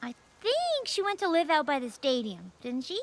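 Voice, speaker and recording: The pace here is moderate. The voice is a cartoonish character voice. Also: female-sounding voice, high pitch for a woman. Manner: casual, easygoing.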